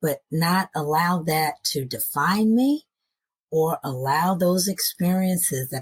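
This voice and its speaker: The voice is somewhat breathy and lively in intonation at a fairly slow pace, on a very clean recording with a silent background and a dry, close sound with no echo. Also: woman. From US, moved often (Nashville, Seattle suburbs, Alabama, Iowa). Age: 60s. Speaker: podcast guest. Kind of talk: interview storytelling.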